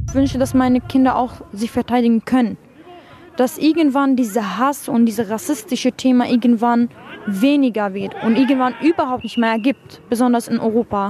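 Crowd noise sits in the background while a woman talks at a moderate pace in a high pitch with ordinary pitch variation. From Syria. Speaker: young refugee interviewee. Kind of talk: interview. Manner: halting.

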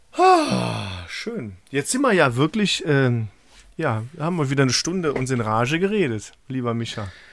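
Very wide pitch swings at a fairly slow pace. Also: man, medium pitch for a man. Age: 30s. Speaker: podcast co-host. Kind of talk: casual chat.

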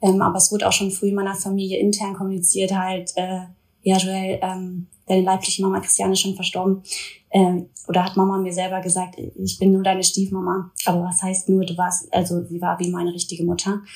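At a fairly quick pace, a woman speaks at a medium pitch with monotone, flat intonation. Her voice is somewhat breathy. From Ruhr area, Germany (Duisburg). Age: 20s. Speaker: influencer. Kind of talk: personal testimony in interview.

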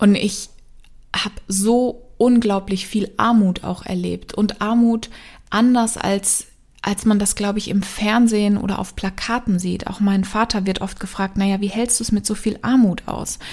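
A woman speaks in a somewhat breathy, flat monotone. The recording is very clean, with a silent background. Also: medium pitch for a woman, fairly slow pace. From East Africa (Kenya, Congo), German-speaking family. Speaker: mind and business coach. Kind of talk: personal storytelling monologue.

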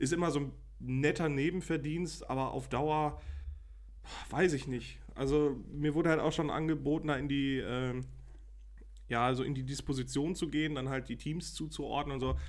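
Fairly high male voice in a flat monotone at a moderate pace, with long, frequent pauses and audible room echo. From Germany, Münsterland (Lembeck, NRW). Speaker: podcast co-host. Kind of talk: casual chat.

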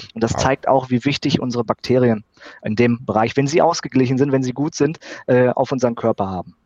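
This man talks very fast at a medium pitch, his pitch varying in an ordinary way. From Sauerland, Germany. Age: 30s. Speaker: biologist. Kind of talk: interview. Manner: halting, frequent fillers.

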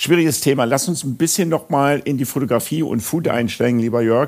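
This is an unremarkable speaking voice. It moves at a fairly quick pace with lively intonation. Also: man. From Münster, Germany. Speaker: podcast host. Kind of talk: interview.

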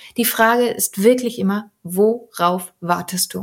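At a fairly slow pace, a woman speaks in a somewhat breathy voice at a medium pitch with ordinary pitch variation. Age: 30s. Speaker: podcast host and coach. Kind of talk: solo podcast monologue.

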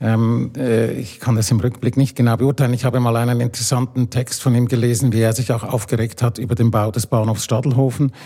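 Speaking at a fairly quick pace, a man uses a medium pitch and a monotone, flat intonation, his voice somewhat breathy with a dark, mellow tone. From Switzerland. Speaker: architect and urban planner. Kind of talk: panel discussion.

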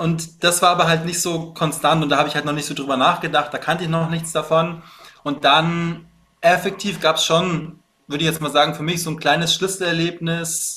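A man speaks at a high pitch in a bright, sharp tone with fairly even intonation. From Bavaria, Munich. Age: 30s. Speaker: fitness coach. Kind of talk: casual interview chat.

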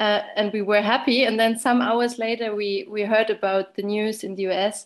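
Someone with a German accent speaks with fairly even intonation against a quiet background. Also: woman. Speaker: obstetrician. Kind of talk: interview.

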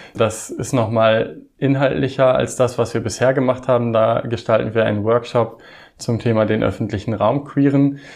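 A man with an unremarkable speaking voice holds a medium pitch at a moderate pace, his intonation fairly even and his loudness very even. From Osnabrück region, Lower Saxony, Germany. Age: 30s. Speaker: drag queen, former church employee. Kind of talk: interview.

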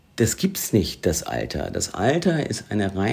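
In a very clean recording with a silent background, a man speaks in an ordinary speaking voice at medium pitch and a fairly slow pace. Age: 50s. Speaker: podcast co-host. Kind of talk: casual chat.

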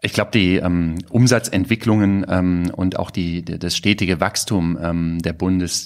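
A man talks with a very deep, low pitch and fairly even intonation. The recording is very clean, with a silent background. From Germany, Cologne. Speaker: digital agency executive. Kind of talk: interview. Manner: hesitant, many fillers.

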